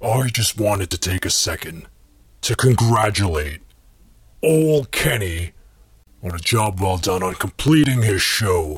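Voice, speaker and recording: A man's fairly low voice, somewhat breathy, at a fairly slow pace. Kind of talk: mocking scripted skit. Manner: sarcastic, insulting.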